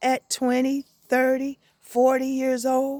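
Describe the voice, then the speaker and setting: A woman speaks at a high pitch with fairly even intonation. The sound is dry and close, with no echo. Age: 60s. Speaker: inspirational vlogger. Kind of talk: casual reflective monologue. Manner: halting.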